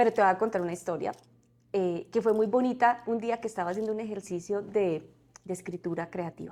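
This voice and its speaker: Her tone is dark and mellow as a woman talks at a fairly quick pace. Her pitch is medium, with fairly even intonation. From Colombia, Santander. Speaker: corporate community relations director. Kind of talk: podcast interview. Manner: hesitant, with fillers and repetitions.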